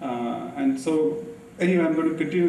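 Moderate pacing and lively intonation over noticeable background noise. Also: man. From India. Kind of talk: lecture. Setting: stage with audience.

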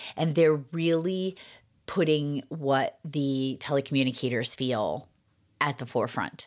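In a Boston accent, a woman with a very deep, low pitch speaks at a fairly slow pace in an upbeat, animated tone with ordinary pitch variation, on a very clean recording with a silent background. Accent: Boston-area New England. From Massachusetts. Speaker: podcast host and 911 trainer. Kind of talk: podcast intro and update, scripted-style sponsor read.

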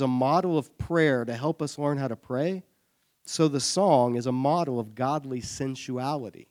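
A man in an American accent with a normal speaking voice, a fairly high pitch and ordinary pitch variation. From US South, Savannah, Georgia. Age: 30s. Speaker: church adult education teacher. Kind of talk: Bible study lecture. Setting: church classroom with audience.

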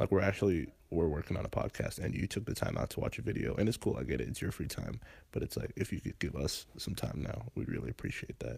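A man with a very deep, low pitch and vocal fry speaks very fast with hardly any pauses, his pitch swinging very widely. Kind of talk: casual banter. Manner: jokey.

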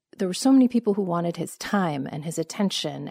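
On a very clean recording with a silent background, a woman of medium pitch talks with lively intonation in a Californian accent. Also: dry, close sound with no echo. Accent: General American, Californian. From US West Coast, Los Angeles. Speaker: journalist and author. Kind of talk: interview conversation.

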